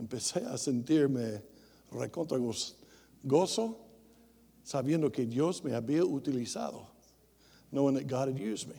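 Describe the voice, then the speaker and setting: Lively intonation in a Tennessee accent, dark and mellow in tone, at a moderate pace with long, frequent pauses and audible room echo. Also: man, medium pitch for a man. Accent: Southern US (Tennessee). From US South, rural Tennessee. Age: 60s. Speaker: missionary preacher. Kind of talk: bilingual sermon, self-interpreting English and Spanish. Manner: switches between English and Spanish mid-sentence; halting, many filler sounds.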